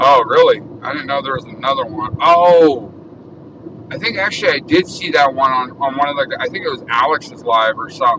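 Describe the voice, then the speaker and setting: A man with an American accent at a moderate pace, fairly high in pitch with ordinary pitch variation, amid noticeable background noise. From Arizona, Tucson. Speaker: live streamer. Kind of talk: casual live stream while driving. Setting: in a car.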